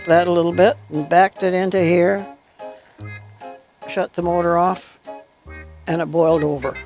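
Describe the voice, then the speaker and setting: A woman with a fairly low pitch speaks at a moderate pace. Music plays in the background. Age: 80s+. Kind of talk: interview answer. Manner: spirited, lively.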